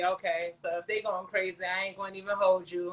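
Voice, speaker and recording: An American woman speaks with an American accent in a bright, sharp tone. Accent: New York accent noticed by Southerners. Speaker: talk show host. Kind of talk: casual chat.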